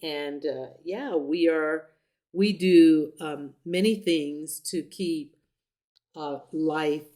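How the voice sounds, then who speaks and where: A woman speaks very slowly in a very deep, low voice. Her tone is dark and mellow, with fairly even intonation. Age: 70s. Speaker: YouTube vlogger. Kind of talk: casual chat. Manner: halting.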